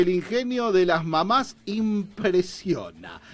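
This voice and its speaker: A man's voice with ordinary pitch variation. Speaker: radio show host. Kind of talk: casual chat. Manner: animated.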